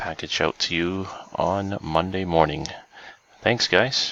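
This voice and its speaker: Over noticeable background noise, a man speaks quietly at a fairly slow pace in a very deep, low pitch. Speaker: online giveaway host. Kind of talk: live stream giveaway drawing. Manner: quiet, hushed.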